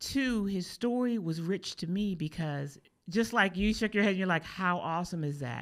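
In an American accent, a woman with a normal speaking voice talks at medium pitch and a moderate pace with lively intonation, on a very clean recording with a silent background. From US East Coast. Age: 50s. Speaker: podcast host and content creator. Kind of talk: casual chat. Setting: studio.

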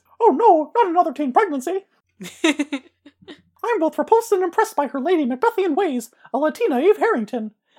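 Someone puts on a character voice at an extremely high pitch, talking at a fairly quick pace. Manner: cheery, cartoonish.

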